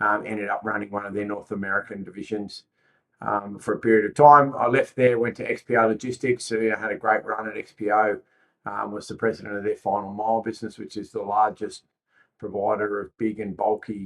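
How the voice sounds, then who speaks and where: The speaker has an Australian accent. The pace is fairly quick and the intonation fairly even. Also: man, fairly low pitch for a man. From Australia, Sydney. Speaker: logistics company executive. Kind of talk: podcast interview.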